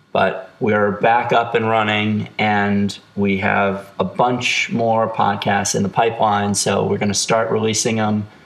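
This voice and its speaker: A man's fairly low voice at a fairly slow pace, monotone and flat, with very even loudness, hardly any pauses and noticeable background noise. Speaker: podcast host. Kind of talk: casual interview chat. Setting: recorded on cell phones.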